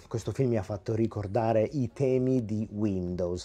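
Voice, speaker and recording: Here a man talks at a moderate pace with a fairly low pitch. His tone is dark and mellow. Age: 40s. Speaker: YouTube film and home video reviewer. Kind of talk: video review monologue. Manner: animated.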